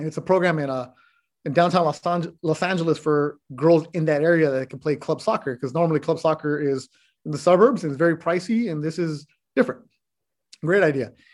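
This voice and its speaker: A man with an ordinary speaking voice talks at a fairly quick pace, his pitch fairly high and its variation ordinary, on a very clean recording with a silent background. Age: 40s. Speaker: sports reporter and announcer. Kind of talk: casual chat.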